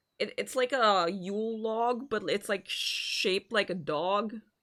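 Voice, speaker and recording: With a non-native accent, a woman speaks at a fairly high pitch. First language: not English. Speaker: vtuber streamer. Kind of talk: casual livestream chat and reading a visual novel aloud. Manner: halting, frequent stammered repeats.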